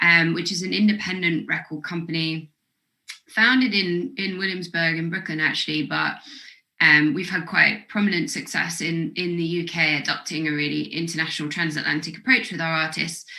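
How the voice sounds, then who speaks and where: A woman's fairly low voice with ordinary pitch variation, in a British accent. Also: moderate pace. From Britain. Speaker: record label executive. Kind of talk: panel interview. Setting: video call.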